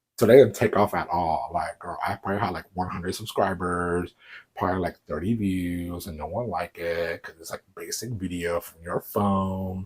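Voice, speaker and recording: A man speaks at a moderate pace in a fairly low pitch. His voice is somewhat breathy, with an American accent. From US South, Houston, Texas. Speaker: YouTuber. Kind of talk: casual vlog.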